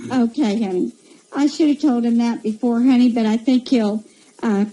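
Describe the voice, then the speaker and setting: Soft-spoken, a woman talks at a moderate pace with fairly even intonation against noticeable background noise. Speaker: psychic radio host. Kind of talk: radio interview chat. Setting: live radio show. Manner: soft, unable to project.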